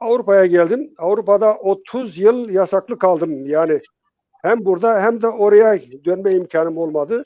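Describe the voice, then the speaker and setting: A man's high-pitched voice with a dark, mellow tone and a dry, close sound with no echo. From Turkey, Dersim (Tunceli). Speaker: retired psychotherapist and teacher. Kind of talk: interview. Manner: halting.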